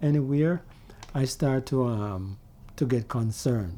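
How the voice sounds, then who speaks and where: This man talks at a fairly slow pace, his dark, mellow tone paired with lively intonation. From Jamaica. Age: 60s. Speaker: vlogger. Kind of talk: casual monologue. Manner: halting.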